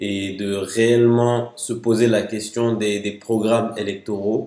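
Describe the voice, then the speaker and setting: Very slowly and in a monotone, flat intonation, a man speaks with a fairly low pitch and a dark, mellow tone. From Mali. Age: 20s. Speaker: security analyst and law student. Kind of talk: casual discussion.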